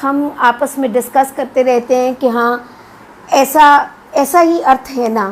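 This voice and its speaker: A woman speaks with a Punjabi accent in a high voice. Her pitch varies in an ordinary way. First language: Punjabi (speaking Hindi). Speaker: academic and literary translator. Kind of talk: lecture. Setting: live video stream. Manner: hesitant fillers.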